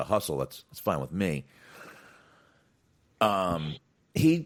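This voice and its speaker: Vocal fry at a fairly slow pace, with very wide pitch swings, big swings in loudness and long, frequent pauses. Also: man. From moved around: Boston, North Carolina, Florida, Texas. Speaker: wrestling podcast co-host. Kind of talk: casual chat.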